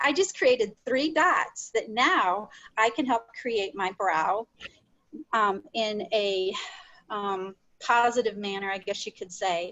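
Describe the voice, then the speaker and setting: A woman speaks at a very slow pace. Her voice sits fairly high. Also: ordinary pitch variation. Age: 60s. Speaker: makeup demonstrator. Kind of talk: tutorial. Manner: casual.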